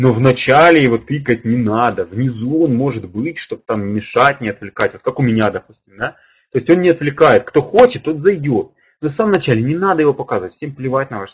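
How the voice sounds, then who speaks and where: A man speaks at a fairly quick pace with lively intonation and an animated, somewhat breathy tone. His loudness swings widely against a quiet background. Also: medium pitch for a man. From Ukraine, Kharkiv. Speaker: public speaking coach. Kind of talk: webinar. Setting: online webinar. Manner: fast.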